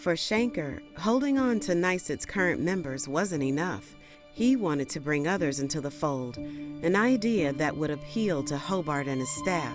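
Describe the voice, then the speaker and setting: With music in the background, a woman speaks at a moderate pace in a very deep, low pitch with ordinary pitch variation. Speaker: voice actor. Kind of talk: documentary narration.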